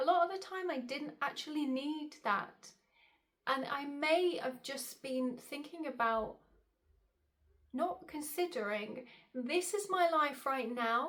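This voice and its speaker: A woman with a British accent speaks at a very slow pace, her high pitch carried by lively intonation. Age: 30s. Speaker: style coach and vlogger. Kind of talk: casual vlog talk to camera.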